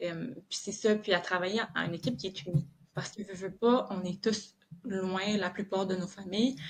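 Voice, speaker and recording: A woman's somewhat breathy voice at medium pitch, with fairly even intonation and a moderate pace. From southern Quebec. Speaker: police officer. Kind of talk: podcast interview. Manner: hesitant, many filler words.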